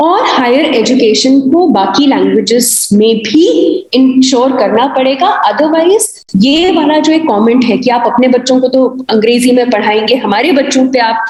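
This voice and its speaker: With a Himachali accent, the speaker uses lively intonation over noticeable background noise. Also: woman. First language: Kangri (speaking Hindi). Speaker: university professor. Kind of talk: panel discussion. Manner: frequent hesitation fillers.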